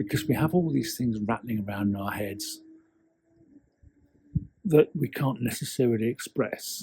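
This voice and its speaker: A man with a medium-pitched, dark, mellow and somewhat breathy voice speaks at a moderate pace with lively intonation, leaving long, frequent pauses. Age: 60s. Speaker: copywriter and storytelling coach. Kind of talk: casual talk to camera.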